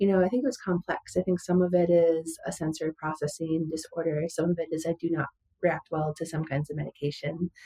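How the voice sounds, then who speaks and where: With an American accent, a woman speaks at a fairly quick pace and fairly low pitch, her somewhat breathy voice dark and mellow, her intonation monotone and flat, and the sound dry and close with no echo. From US Midwest, western Wisconsin. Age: 40s. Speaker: musician and former data analyst. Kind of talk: interview testimony. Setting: podcast interview.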